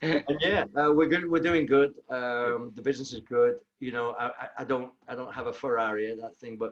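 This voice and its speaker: This man speaks with a Manchester accent and ordinary pitch variation. He leaves hardly any pauses. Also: medium pitch for a man, moderate pace, big swings in loudness. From northern England, Manchester. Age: 50s. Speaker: personal trainer and bootcamp owner. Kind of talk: interview. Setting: video call. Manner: halting.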